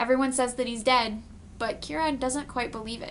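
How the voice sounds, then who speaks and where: A woman talks at a fairly quick pace in a bright, sharp tone. Her intonation is monotone and flat. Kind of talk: casual book review to camera.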